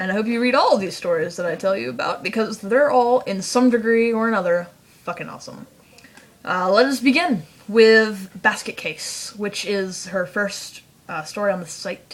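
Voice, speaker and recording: A woman's medium-pitched voice at a moderate pace, with ordinary pitch variation, big swings in loudness and noticeable background noise. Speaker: fanfiction reviewer vlogger. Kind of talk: casual vlog monologue. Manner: rambling with fillers.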